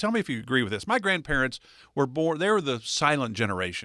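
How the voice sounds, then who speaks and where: Over a silent background in a very clean recording, a man with an American accent speaks very fast. His bright, sharp tone carries vocal fry and very wide pitch swings. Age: 60s. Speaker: radio co-host. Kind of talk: radio show talk.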